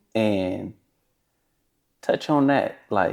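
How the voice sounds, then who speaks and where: A man speaks at a very slow pace. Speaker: podcast host. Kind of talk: interview question.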